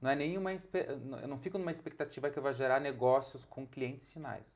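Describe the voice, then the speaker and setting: A man's fairly high voice in a strong Curitiba accent, at a moderate pace with ordinary pitch variation. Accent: thick Curitiba. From Brazil, Curitiba. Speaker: architect and lighting designer. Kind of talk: podcast interview.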